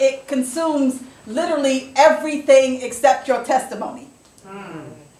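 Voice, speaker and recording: A woman speaks in a high voice. Noticeable background noise runs underneath. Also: big swings in loudness. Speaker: slam poet. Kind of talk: spoken word poetry performance. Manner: intense, defiant.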